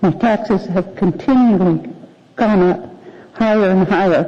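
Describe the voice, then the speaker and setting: A woman's medium-pitched voice at a moderate pace, fairly even in intonation, with noticeable background noise. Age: 70s. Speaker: public commenter at city assembly. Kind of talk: public testimony. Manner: halting.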